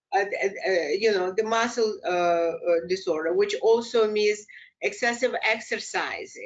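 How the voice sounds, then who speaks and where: A woman speaks with a Russian accent at a fairly high pitch. Her pace is fairly slow and her loudness stays very even. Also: ordinary pitch variation. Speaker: clinical psychologist. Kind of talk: lecture. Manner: halting.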